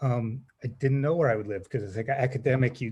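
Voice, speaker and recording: With an American accent, a man talks at a fairly quick pace in a dark, mellow tone that is somewhat breathy, his intonation fairly even. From California. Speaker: applicant for a public commission seat. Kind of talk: self-introduction at a public meeting. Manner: halting, many fillers.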